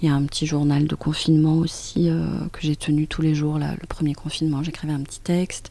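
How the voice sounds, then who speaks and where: This woman speaks at a fairly quick pace with hardly any pauses, her very deep, low pitch held in a monotone, flat intonation. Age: 50s. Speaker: author. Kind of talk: interview. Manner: hesitant, with frequent repetitions.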